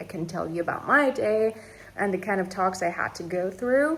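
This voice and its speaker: The woman's lively intonation and moderate pace carry over noticeable background noise. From Iran. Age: 20s. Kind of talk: casual talk to camera. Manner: chatty, informal.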